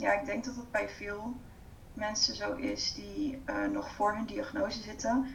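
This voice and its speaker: A woman talks at a fairly slow pace, her pitch fairly high with ordinary variation. Noticeable background noise and audible room echo surround her. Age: 30s. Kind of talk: interview.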